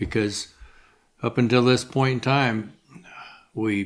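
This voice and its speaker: Monotone and flat, a man with an American accent speaks at a moderate pace. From Wyoming, US. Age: 70s. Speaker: sheep rancher. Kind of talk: interview. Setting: on a ranch. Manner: halting, many repeated words.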